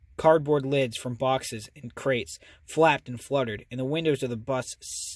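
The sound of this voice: Unforced reading voice, heard alone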